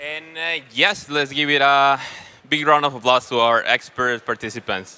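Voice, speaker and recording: Loud and bright with a sharp tone, this voice moves at a moderate pace with ordinary pitch variation. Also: man, fairly high pitch for a man. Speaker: panel moderator. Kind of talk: panel moderation at a conference. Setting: stage with audience.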